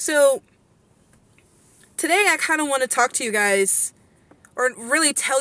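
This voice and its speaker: A woman speaks in a high pitch with a bright, sharp tone. Her voice is raised and projected. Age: 20s. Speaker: vlogger. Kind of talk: casual rant to camera. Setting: in a car.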